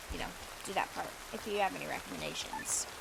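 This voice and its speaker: Noticeable background noise sits behind the speaker. A woman talks at a very fast pace. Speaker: gaming streamer. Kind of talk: casual chat. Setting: live stream. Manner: chatty, rambling.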